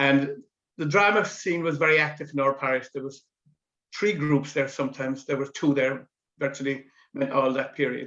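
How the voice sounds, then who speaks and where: A man with a Cork accent, fairly high in pitch, bright and sharp in tone, fairly even in intonation, with long, frequent pauses. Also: moderate pace. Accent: Cork Irish. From West Cork, Ireland. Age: 70s. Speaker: amateur drama veteran. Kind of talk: interview reminiscence.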